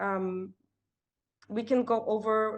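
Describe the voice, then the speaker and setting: A woman with a non-native accent speaks in monotone, flat intonation against a quiet background. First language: not English. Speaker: workshop breakout room facilitator. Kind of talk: online group discussion. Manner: halting, with many fillers and repeats.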